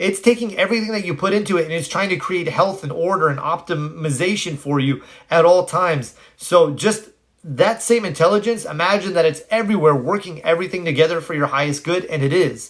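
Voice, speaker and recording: At a fairly quick pace, a man speaks in a high pitch. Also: ordinary pitch variation. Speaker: self-help content creator. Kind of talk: live stream talk answering comments. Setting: live video stream. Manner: fast when animated.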